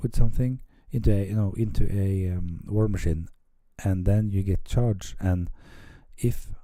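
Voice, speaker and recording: A man with a Norwegian accent speaks in a fairly low pitch with a dark, mellow tone. He keeps a moderate pace with long, frequent pauses. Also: ordinary pitch variation. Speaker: tabletop wargame hobbyist. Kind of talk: battle report commentary. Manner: halting, many fillers.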